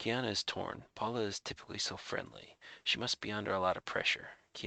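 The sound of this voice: The speaker uses an unforced reading voice. The words are read aloud.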